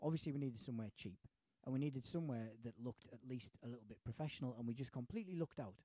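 A very fast male voice in a Teesside accent, medium in pitch and dark and mellow in tone, with ordinary pitch variation and a dry, close sound with no echo. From Middlesbrough, northern England. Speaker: stand-up comedian. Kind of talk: casual chat.

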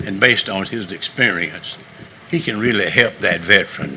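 A man with a fairly low voice speaks against audible room echo and noticeable background noise. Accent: Southern US. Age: 70s. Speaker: navy veteran, public commenter. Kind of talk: public comment at council meeting. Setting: county council meeting.

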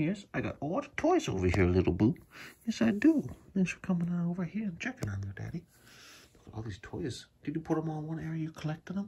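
This man talks fast at a fairly high pitch, with very wide pitch swings. His tone is dark and mellow, with a husky, rough edge.

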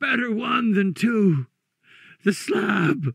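Putting on a character voice, a man speaks very slowly at a high pitch, his fairly bright tone carrying a slightly husky edge and vocal fry, with lively intonation.

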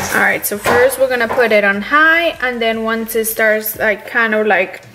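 Delivery at a moderate pace comes with noticeable background noise behind it. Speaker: cooking vlogger. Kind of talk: casual vlog chat. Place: kitchen.

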